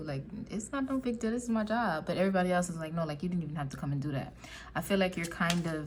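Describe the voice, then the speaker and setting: A woman speaks with a fairly low pitch and a somewhat breathy sound. Her voice carries audible room echo. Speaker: tarot reader. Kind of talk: tarot reading monologue. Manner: casual, filler-heavy.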